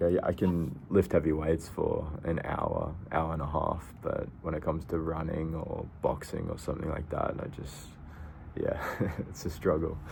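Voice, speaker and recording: A man's very deep, low voice at a moderate pace, monotone and flat, with audible room echo and noticeable background noise. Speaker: self-improvement vlogger. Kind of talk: casual vlog monologue. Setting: outdoors in a park. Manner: halting, with repeated words.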